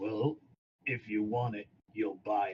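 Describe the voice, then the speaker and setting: A raspy, put-on character voice, fairly slow, with fairly even intonation. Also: man. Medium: actual play. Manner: curt, surly.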